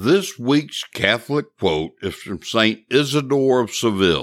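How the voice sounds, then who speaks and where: A man speaks at a very slow pace and a medium pitch, with very wide pitch swings. The recording is very clean, with a silent background. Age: old. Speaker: podcast host. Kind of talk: podcast interview and commentary. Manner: sometimes slurred or halting speech.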